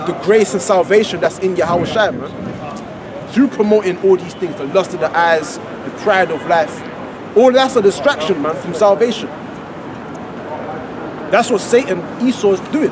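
Recorded dry with no echo but with noticeable background noise, a man talks at a moderate pace with ordinary pitch variation and long, frequent pauses. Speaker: street preacher. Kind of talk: sermon. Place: street. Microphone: camera far.

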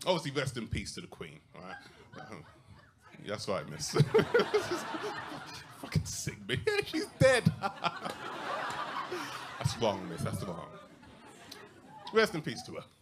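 A man talks at a fairly slow pace, leaving long, frequent pauses, while loud background noise plays behind him. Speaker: stand-up comedian. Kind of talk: live stand-up comedy set. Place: stage. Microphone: handheld.

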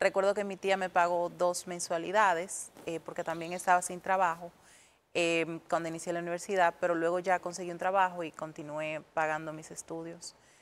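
Speaking at a moderate pace, a woman with a fairly low voice keeps a monotone, flat intonation while her loudness swings widely. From Dominican Republic, Puerto Plata; Dominican Republic. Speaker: English teacher; english teacher guest. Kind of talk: tutorial; interview. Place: studio. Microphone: lapel.

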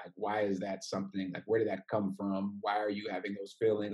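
A dark, mellow tone marks the man's voice. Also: quiet background. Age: 30s. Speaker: panelist; guest. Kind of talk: panel discussion. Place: home room. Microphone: video call.

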